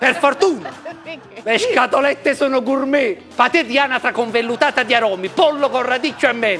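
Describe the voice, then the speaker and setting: In a raised, projected voice with a playful tone, a man speaks at an extremely high pitch and a moderate pace, with music in the background. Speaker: comedian. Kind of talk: stand-up comedy monologue on TV. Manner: playful, comic timing.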